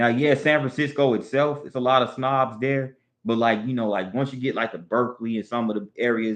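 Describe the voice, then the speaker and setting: A man talks with a Southern US accent. His pace is moderate. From US South. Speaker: live streamer. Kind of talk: casual chat. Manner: halting, repetitive.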